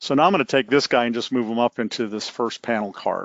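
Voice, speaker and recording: Medium pitch and ordinary pitch variation from a man. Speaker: software developer presenting a workshop. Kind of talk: tutorial. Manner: fast.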